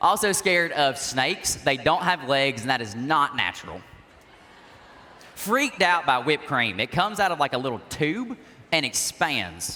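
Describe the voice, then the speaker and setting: Speaking with a Southern US accent in an animated tone, a man keeps a moderate pace and a fairly high pitch that swings very widely. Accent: Southern US (Georgia). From US South, Georgia. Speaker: youth organization president. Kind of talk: keynote speech. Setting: stage with audience.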